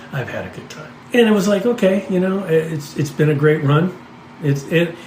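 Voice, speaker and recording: A man speaks at a fairly quick pace in a fairly high voice with ordinary pitch variation. Noticeable background noise and audible room echo fill the recording. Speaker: podcast host. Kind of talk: casual storytelling chat. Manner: halting, with frequent restarts.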